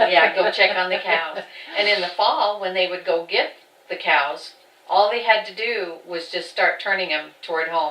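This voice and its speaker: Amid noticeable background noise, a woman with an American accent speaks at a moderate pace with ordinary pitch variation. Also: medium pitch for a woman. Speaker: farm family member. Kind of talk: oral history interview.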